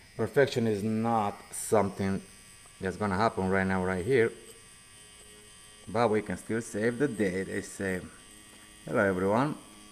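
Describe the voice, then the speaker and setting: Pausing long and often, a man speaks with a Romanian accent. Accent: Romanian accent, noticeable. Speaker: tattoo artist. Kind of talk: casual live stream chat while working.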